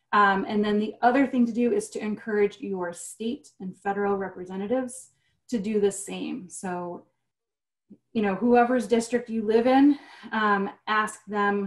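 Fairly slow speech with fairly even intonation and big swings in loudness over a quiet background. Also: woman, fairly high pitch for a woman. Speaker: environmental staff attorney; webinar panelist. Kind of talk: webinar presentation. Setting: video call. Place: home room. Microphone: video call.

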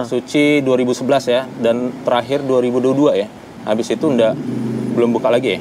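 A man speaks at a very fast pace with monotone, flat intonation. Noticeable background noise is present. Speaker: interviewer and channel host. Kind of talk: casual interview questions. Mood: relaxed, friendly. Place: cafe.

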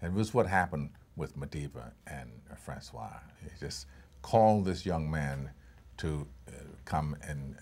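Very deep and low, a man's voice carries vocal fry and long, frequent pauses. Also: big swings in loudness. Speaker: actor being interviewed. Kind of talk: interview answer. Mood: relaxed, thoughtful. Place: hall. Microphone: lapel.

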